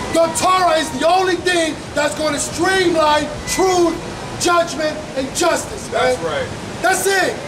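Over noticeable background noise, a man with an extremely high pitch talks at a fairly slow pace with fairly even intonation. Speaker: street preacher. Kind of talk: street debate. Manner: aggressive. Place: street. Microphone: camera far.

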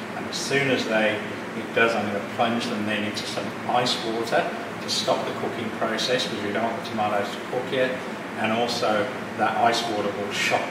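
Speaking at a fairly quick pace, a man is heard with audible room echo and loud background noise. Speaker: cooking teacher. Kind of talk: tutorial. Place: kitchen. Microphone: camera far.

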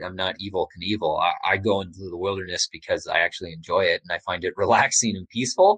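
A normal speaking voice in a Canadian accent, at a fairly quick pace against a quiet background. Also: man, dry, close sound with no echo. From Canada. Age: 30s. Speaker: explorer and author. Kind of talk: interview.

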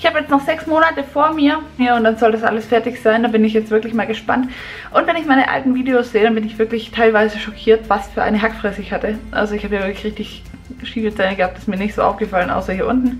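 A woman speaks at a very fast pace with ordinary pitch variation. Faint music plays in the background. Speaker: vlogger. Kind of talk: casual vlog chat. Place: bathroom. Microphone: phone near.

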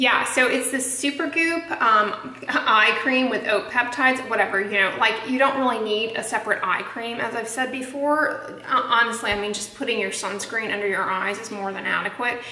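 There is audible room echo around this woman's voice. She speaks with ordinary pitch variation. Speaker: skin care vlogger. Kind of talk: casual vlog chat. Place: home room. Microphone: phone near.

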